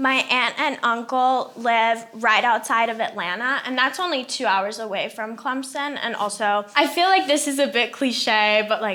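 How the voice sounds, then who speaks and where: Hardly pausing, a woman with an American accent speaks at a moderate pace and high pitch with ordinary pitch variation, noticeable background noise behind her. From mostly Africa, international schools, American family. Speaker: university student. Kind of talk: podcast interview.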